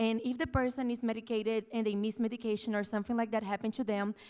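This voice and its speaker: A woman with a non-native accent, very fast, fairly high-pitched and flat in a monotone. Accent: has a foreign. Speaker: audience member asking a question. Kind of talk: audience question at panel discussion.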